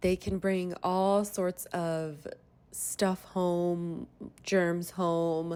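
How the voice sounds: A woman speaks at fairly low pitch. Her tone is slightly mellow.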